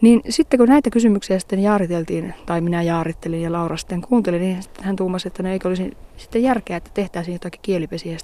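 Hardly pausing at all, a woman with a medium pitch and a dark, mellow tone talks very fast with ordinary pitch variation. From Finnish Lapland, Inari. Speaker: theatre director and Sámi activist. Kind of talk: interview. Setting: outdoors on a fell top.

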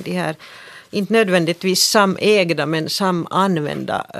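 At a fairly slow pace, a woman talks in a normal speaking voice, fairly low in pitch with ordinary pitch variation. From Finland, Helsinki (Swedish-speaking). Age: 50s. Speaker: journalist and author. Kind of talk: radio discussion. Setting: studio.

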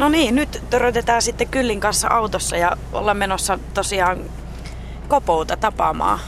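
Over noticeable background noise, a woman talks at a fairly slow pace with very even loudness. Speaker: radio reporter. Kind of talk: on-location interviews. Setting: in a car.

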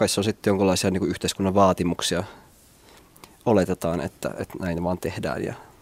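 In a dry, close sound with no echo, a man with a very deep, low pitch talks at a fairly quick pace, with fairly even intonation and long, frequent pauses. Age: 20s. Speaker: young host of dinner parties. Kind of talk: radio panel discussion. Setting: studio.

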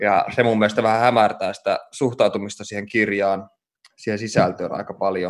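In a fairly low, monotone voice with flat intonation, a man speaks at a moderate pace. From Oulu, northern Finland. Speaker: podcast host, writer. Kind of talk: interview conversation. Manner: hesitant, many fillers.

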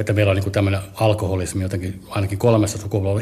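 The speaker is a man with a fairly low pitch. His voice is somewhat breathy. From Helsinki, Finland. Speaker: comedian. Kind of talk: personal testimony. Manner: halting.

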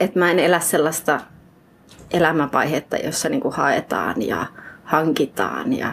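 A woman speaks with a fairly low pitch. Her pace is very slow. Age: 30s. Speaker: writer. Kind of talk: interview. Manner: halting.

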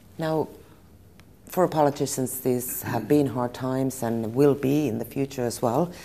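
A woman's very deep, low voice with a Finnish accent, a dark, mellow tone, fairly even intonation and a fairly slow pace, in a very clean recording against a silent background. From Finland. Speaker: journalist. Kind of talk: interview.

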